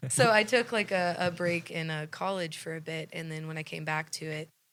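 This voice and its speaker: A woman with an Oklahoma accent, fairly low in pitch with ordinary pitch variation, in a very clean recording with a silent background. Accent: Oklahoma twang. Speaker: singer-songwriter. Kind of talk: interview.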